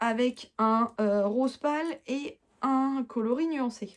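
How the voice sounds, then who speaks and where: Recorded very cleanly against a silent background, a woman talks in a high voice with ordinary pitch variation. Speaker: knitting podcaster. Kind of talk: casual chat. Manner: hesitant fillers.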